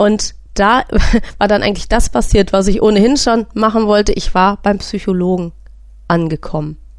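Here a woman speaks in a normal speaking voice at medium pitch. Her pace is moderate, with ordinary pitch variation. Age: 40s. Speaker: podcast host and patient with a sleep disorder. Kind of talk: personal testimony monologue.

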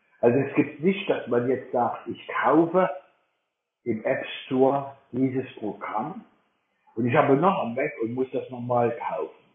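Here a man is talking. His pace is very slow. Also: long, frequent pauses. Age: 60s. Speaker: blind Mac user co-leading a workshop. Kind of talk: online workshop talk.

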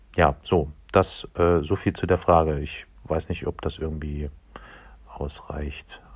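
Very slow and somewhat breathy, a man talks in a very deep, low pitch with fairly even intonation and long, frequent pauses. The recording is very clean, with a silent background. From Dresden, Saxony. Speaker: podcast producer. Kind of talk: casual chat. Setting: recorded in various everyday locations.

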